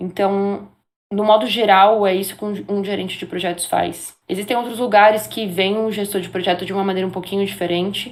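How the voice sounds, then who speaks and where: Her delivery is monotone and flat, at a fairly quick pace. The woman's pitch is medium. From Brazil, São Paulo. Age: 20s. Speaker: games marketing project manager. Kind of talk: interview. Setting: live stream.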